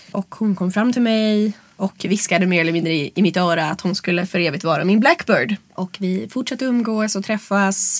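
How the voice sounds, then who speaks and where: In a plain, everyday voice, a woman speaks at a medium pitch and a moderate pace with ordinary pitch variation and hardly any pauses, the sound dry and close with no echo. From rural Sweden. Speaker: burlesque performer and club producer. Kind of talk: interview.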